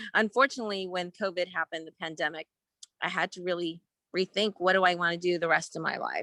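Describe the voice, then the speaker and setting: A woman with an American accent speaks very fast in a bright, sharp tone, fairly low in pitch. Her intonation is fairly even, and the sound is dry and close with no echo. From Northern California. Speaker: entrepreneur. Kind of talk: networking call introduction.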